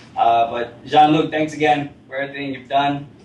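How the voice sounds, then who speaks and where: Over noticeable background noise, a speaker with an American accent talks at a moderate pace in a monotone, flat intonation. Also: man. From Rochester, New York, US. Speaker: meetup organizer. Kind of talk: event introduction to audience. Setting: meetup room with live audience. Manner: casual, many filler words.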